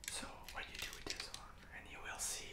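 A man speaks at a moderate pace. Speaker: toy reviewer. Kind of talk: ASMR toy review and assembly. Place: home room.

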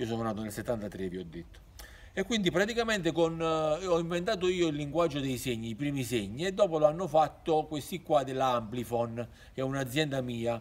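A man with a fairly high pitch, a fairly quick pace and very wide pitch swings. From Campania, southern Italy (San Felice a Cancello); Campania, Italy. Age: 50s. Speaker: YouTuber; storyteller. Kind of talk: monologue to camera. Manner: halting. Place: open country.

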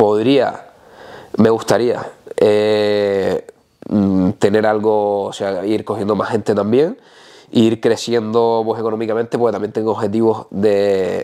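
A man talks at a fairly low pitch in a dark, mellow tone, with monotone, flat intonation at a fairly slow pace. Long, frequent pauses break up his speech over a quiet background. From Canary Islands. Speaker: natural bodybuilder; interviewee. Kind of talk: casual interview. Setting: host's home. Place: home room. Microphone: lapel.

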